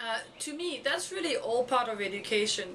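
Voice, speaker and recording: Speaking at a fairly quick pace in a French accent, a woman with a high pitch is heard amid noticeable background noise and audible room echo. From France. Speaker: education blogger. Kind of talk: video blog monologue. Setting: recorded on camera. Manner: halting, many fillers.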